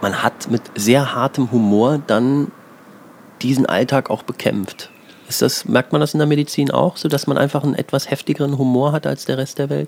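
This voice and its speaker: With noticeable background noise behind him, a man speaks at a moderate pace and medium pitch, his pitch varying in an ordinary way. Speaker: podcast host and comedian. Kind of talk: interview. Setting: outdoors on home terrace.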